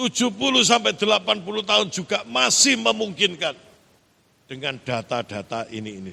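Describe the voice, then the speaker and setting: A man with a fairly high, bright and sharp voice talks at a moderate pace, with very wide pitch swings and big swings in loudness. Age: 50s. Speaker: pastor. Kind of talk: sermon.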